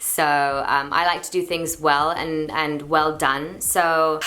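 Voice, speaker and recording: A woman talks at a fairly low pitch. Background noise is noticeable. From London and Portugal. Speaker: YouTuber and singer. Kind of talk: casual Q&A vlog. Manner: chatty, relaxed.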